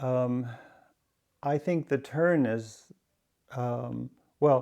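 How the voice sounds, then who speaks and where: Against a quiet background, a man with a medium-pitched voice and a dark, mellow tone speaks with ordinary pitch variation. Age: 60s. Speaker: poet. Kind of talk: interview. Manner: halting, with many fillers.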